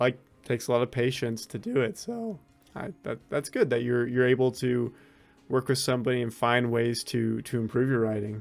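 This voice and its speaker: Music plays in the background as a man talks. His pitch is medium and his intonation fairly even. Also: moderate pace. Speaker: writing interviewer. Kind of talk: interview host talk.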